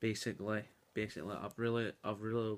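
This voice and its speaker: This man is soft-spoken, with a fairly low pitch. He speaks in a monotone, flat intonation. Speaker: youtuber. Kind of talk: casual video commentary. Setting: at home at night. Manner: soft-spoken, talking quietly; hesitant with many fillers.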